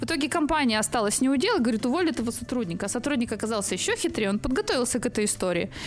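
A woman with a high pitch talks at a very fast pace, with very wide pitch swings and hardly any pauses. Her loudness stays very even, and there is noticeable background noise. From central Russia. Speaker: media manager and coach. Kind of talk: casual interview chat. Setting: studio.

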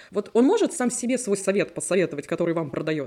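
A woman's medium-pitched, lively voice at a very fast pace, over noticeable background noise. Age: 30s. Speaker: podcast host. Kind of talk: casual chat.

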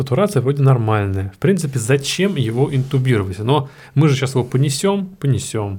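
A man with a medium pitch, an animated tone and lively intonation, somewhat breathy, at a fairly quick pace with very even loudness, on a very clean recording with a silent background. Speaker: intensive care doctor. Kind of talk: casual chat.

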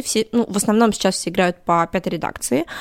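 A woman with a medium-pitched voice and ordinary pitch variation talks at a fairly quick pace in a very clean recording with a silent background and a dry, close sound with no echo. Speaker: cosplayer and tabletop gamer. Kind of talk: casual chat. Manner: articulate.

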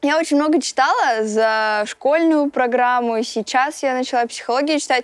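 A woman speaks at a fairly slow pace in a high pitch with lively intonation. The sound is dry and close, with no echo. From Russia, Voronezh. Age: 20s. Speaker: singer and TikTok blogger. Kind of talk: casual interview chat.

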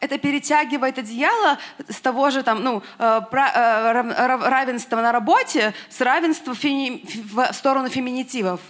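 A woman talks very slowly in a high pitch, her pitch moving in an ordinary way. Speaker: audience member, artist. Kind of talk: question from audience. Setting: stage with audience.

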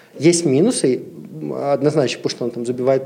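With a normal speaking voice, a man talks at medium pitch with ordinary pitch variation. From Siberia, Russia. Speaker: brand ambassador and massage therapist. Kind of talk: casual chat.

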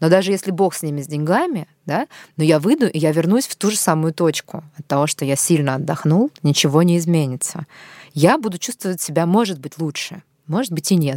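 A woman with a fairly low pitch speaks in an unremarkable speaking voice at a fairly quick pace, with ordinary pitch variation. The recording is very clean, with a silent background and a dry, close sound with no echo. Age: 30s. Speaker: podcast host. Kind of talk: interview.

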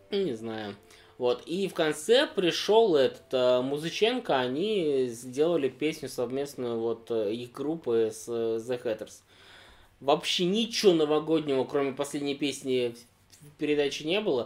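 A plain, everyday voice speaks at a fairly slow pace. The intonation is lively. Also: man, fairly high pitch for a man. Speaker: podcast co-host. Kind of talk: casual chat. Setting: indoor room with fireplace, in person.

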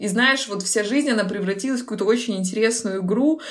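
Noticeable background noise and audible room echo surround a woman talking at a fairly quick pace, her medium pitch held in fairly even intonation. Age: 20s. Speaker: personal branding expert. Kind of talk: casual interview.

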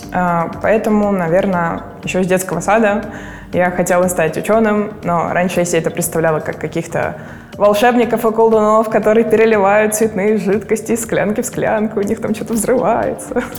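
A woman talks with fairly even intonation. Audible room echo and noticeable background noise surround her voice. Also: medium pitch for a woman, moderate pace. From Russia, Murmansk region. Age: 20s. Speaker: materials scientist. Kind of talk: interview.

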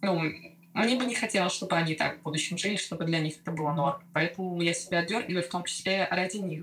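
A woman talks at a very fast pace. Her fairly low voice has ordinary pitch variation. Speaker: former doctor and new mother of twins. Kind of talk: personal testimony in casual interview. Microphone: poor recording, interference, re-recorded on other mic.

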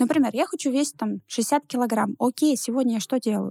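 Recorded very cleanly with a silent background and a dry, close sound with no echo, a woman talks at a fairly quick pace in a high pitch, with a dark, mellow tone and ordinary pitch variation. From Russia, Ivanovo. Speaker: entrepreneur. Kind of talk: interview. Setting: studio.

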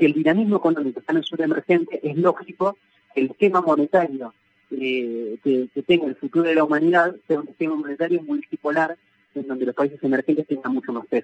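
In a dry, close recording with no echo, a man talks very fast at a fairly high pitch with ordinary pitch variation. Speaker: sociologist and professor. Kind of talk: radio interview.

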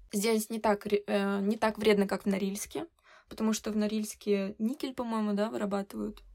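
This woman has a normal speaking voice with fairly even intonation. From Russia, Severodvinsk (Arkhangelsk region). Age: 20s. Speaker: designer and photographer. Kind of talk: casual chat.

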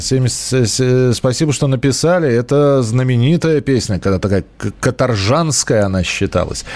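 This man has a medium pitch and lively intonation. He talks at a moderate pace. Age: 40s. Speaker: radio host. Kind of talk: live call-in radio show. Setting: radio studio. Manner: conversational, hesitant fillers.

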